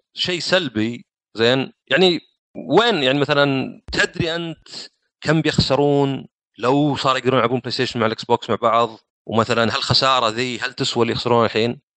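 Ordinary pitch variation and a fairly quick pace from a man at a medium pitch. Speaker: gaming podcast guest. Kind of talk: casual chat. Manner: talkative.

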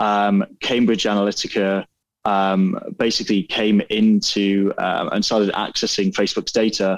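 This man talks at a fairly low pitch. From northeast England. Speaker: startup founder and CEO. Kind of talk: casual interview chat. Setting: video call.

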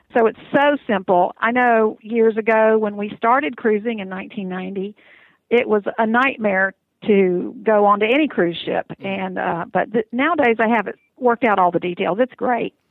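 This woman has an unremarkable speaking voice with a fairly high pitch and ordinary pitch variation. She talks at a moderate pace. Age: 60s. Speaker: cruise reviewer. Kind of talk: casual interview. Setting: phone call.

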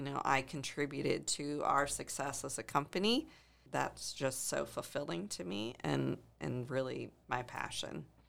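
Recorded very cleanly against a silent background, the speaking pace stays moderate. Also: woman. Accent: American. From US Midwest, Ohio (near Canton). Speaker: company executive. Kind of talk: interview. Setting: studio.

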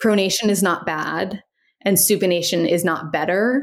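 A woman with an American accent speaks at a moderate pace in a medium pitch, with ordinary pitch variation and an unremarkable speaking voice. The recording is very clean, with a silent background. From US Midwest, Cincinnati, Ohio. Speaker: physical therapist. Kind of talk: casual interview.

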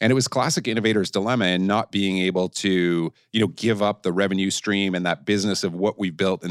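This is a plain, everyday voice at a fairly quick pace with ordinary pitch variation. The recording is very clean, with a silent background and a dry, close sound with no echo. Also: man. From Canada. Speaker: company CEO. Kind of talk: interview.

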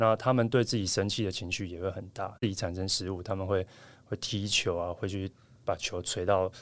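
At a fairly quick pace, a man speaks in an unremarkable speaking voice, fairly low in pitch and fairly even in intonation, on a very clean recording with a silent background. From Taiwan. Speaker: professional volleyball player. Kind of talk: interview.

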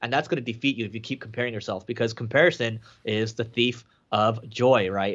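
The man has an unremarkable speaking voice at a medium pitch. He talks at a fairly quick pace with fairly even intonation. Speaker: entrepreneur and marketing agency owner. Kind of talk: interview.

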